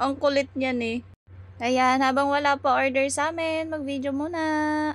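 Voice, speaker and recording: A woman with a high pitch and a playful tone talks at a fairly slow pace in a monotone, flat intonation. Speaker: vlogger. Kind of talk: vlog voiceover narration. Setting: recorded while lying down editing. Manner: casual, playful.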